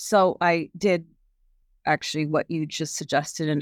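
A woman speaks in a very deep, low pitch. The recording sounds dry and close, with no echo. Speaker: cancer patient and parent. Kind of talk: support group discussion. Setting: video call.

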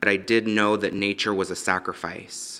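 A man with an American accent speaks in a fairly low, bright, sharp voice with monotone, flat intonation. His pace is moderate, and the recording is very clean with a silent background. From Los Angeles, US. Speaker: mountaineer and activist. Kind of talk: interview testimony.

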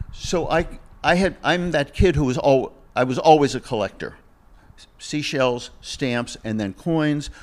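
A man with an American accent and an ordinary speaking voice, fairly high in pitch with ordinary pitch variation, at a fairly slow pace on a very clean recording with a silent background. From US Northeast (Massachusetts). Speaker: vintage watch dealer. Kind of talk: casual interview.

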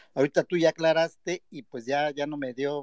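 A man with an unremarkable speaking voice and a fairly high pitch, heard in a dry, close sound with no echo. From Mexico, Guerrero (Acapulco). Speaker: caller. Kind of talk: casual chat.

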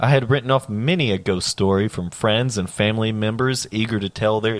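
Ordinary pitch variation in plain reading aloud

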